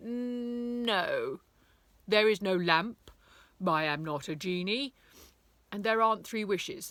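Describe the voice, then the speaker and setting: A woman's put-on character voice, fairly high and fairly slow, with long, frequent pauses, on a very clean recording with a silent background. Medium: read story. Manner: grand and formal.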